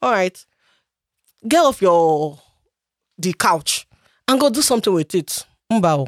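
A woman speaks at a fairly slow pace with long, frequent pauses, her medium-pitched voice making very wide pitch swings. The recording is very clean with a silent background and a dry, close sound with no echo. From Nigeria. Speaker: immigrant sharing life story. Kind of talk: casual chat. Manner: laughs often.

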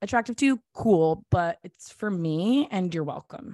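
A woman's plain, everyday voice with an American accent at a moderate pace, dry and close with no echo against a quiet background. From US South. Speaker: actor, singer and social media creator. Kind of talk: casual chat.

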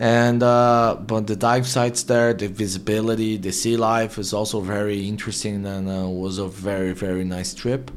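Speaking at a moderate pace with a Portuguese accent, a man uses a fairly low pitch and a monotone, flat intonation. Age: 30s. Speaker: marketing agency CEO. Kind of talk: interview.

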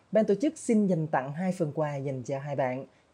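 Lively intonation marks a man's fairly high voice, which has a dark, mellow tone. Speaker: podcast host. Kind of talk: casual panel discussion.

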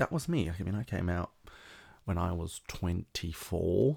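A man with a very deep, low pitch and ordinary pitch variation sounds somewhat breathy in a very clean recording with a silent background. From South Africa. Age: 20s. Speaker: podcast host. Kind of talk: casual solo monologue.

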